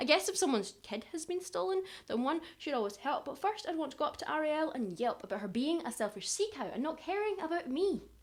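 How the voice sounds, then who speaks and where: This woman speaks at a very fast pace in a Glaswegian accent. Her pitch swings very widely. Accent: Glaswegian Scottish. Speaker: performance poet. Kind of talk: performance poetry. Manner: animated.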